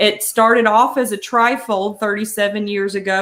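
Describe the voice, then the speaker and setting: A woman with a Southern US accent speaks at a moderate pace with fairly even intonation. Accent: Southern US (Georgia). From Georgia. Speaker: senior resource directory representative. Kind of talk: live stream interview. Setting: live stream.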